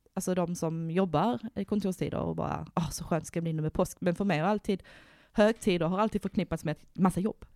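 In a normal speaking voice, a woman talks at a moderate pace and medium pitch with ordinary pitch variation, the sound dry and close with no echo and the recording very clean, with a silent background. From Värmland, Sweden. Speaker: podcast host. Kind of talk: casual chat.

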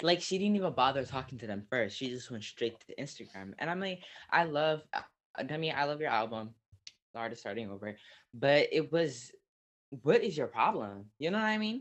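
A man with an American accent, fairly high pitch, very wide pitch swings and a fairly quick pace. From Southern California. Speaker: podcast co-host. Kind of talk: casual chat. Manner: animated.

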